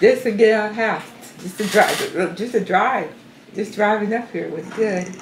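A woman speaks at a fairly high pitch, with fairly even intonation and big swings in loudness. Long, frequent pauses break up her speech over noticeable background noise. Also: moderate pace. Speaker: grandmother. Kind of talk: elder life story. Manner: calm, faith-minded, plainspoken. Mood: warm, amused recollection. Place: home room.

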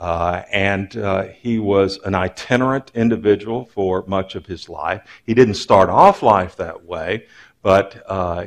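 Against a quiet background, a man with an American accent talks at a very slow pace. His pitch is fairly low and his intonation fairly even. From Texas, Waco; Texas. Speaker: religion professor. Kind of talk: lecture. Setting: stage with audience. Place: stage.

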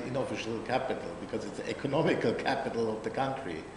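With a German accent, a man speaks at a medium pitch amid noticeable background noise and audible room echo. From Germany. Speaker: hotel general manager. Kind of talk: interview.

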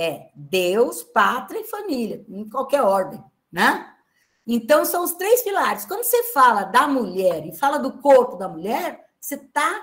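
A woman's high-pitched voice, with very wide pitch swings and big swings in loudness, against a quiet background. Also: fairly slow pace. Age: 70s. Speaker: literature professor. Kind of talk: lecture. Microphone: webcam.

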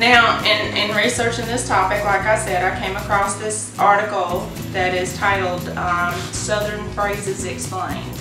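A woman speaks with an American accent. Room echo is audible, and music plays clearly in the background. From North Carolina / South Carolina, USA. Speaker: indie author. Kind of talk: casual vlog talk to camera. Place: home room. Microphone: camera far.

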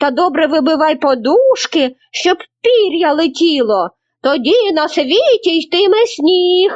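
A woman's put-on character voice, extremely high in pitch with very wide pitch swings, fairly slow, at a very even loudness. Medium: read story. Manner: gentle, benevolent.

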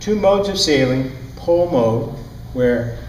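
A man is speaking, with audible room echo. Light background noise sits behind him. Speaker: sailing instructor. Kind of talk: lecture. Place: classroom. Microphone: lapel.

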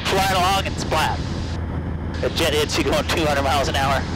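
A man talks at a fairly quick pace. The sound is dry with no echo, though background noise is noticeable. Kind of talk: casual cockpit instruction. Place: plane. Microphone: headset.

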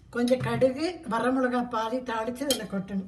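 Over noticeable background noise and audible room echo, a woman speaks at a high pitch. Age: 80s+. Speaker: home cook. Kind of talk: cooking tutorial. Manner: casual, step-by-step.

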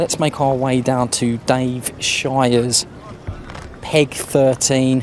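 Light background noise behind a man's voice, the sound dry with no echo. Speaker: lakeside reporter. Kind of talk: live commentary. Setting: outdoors. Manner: hushed. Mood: light-hearted, chatty. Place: waterside. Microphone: handheld.

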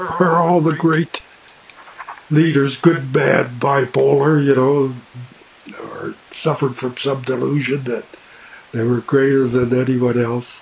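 Pausing long and often, a man speaks at a very slow pace. His pitch is fairly high and his intonation fairly even. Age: 70s. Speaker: vlogger. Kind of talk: casual monologue. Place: home room. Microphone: webcam.

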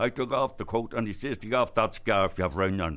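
This man speaks with a Donegal accent. His pitch sits fairly low. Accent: Ulster Irish (Donegal). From Ireland, Inishowen / Donegal border area. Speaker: traditional storyteller. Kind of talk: elder's humorous folk-tale storytelling, voicing characters in dialect. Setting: stage with live audience at a festival. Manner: leisurely, wry, chuckling at his own jokes; drawn-out dialogue with frequent 'says he' tags. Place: hall.

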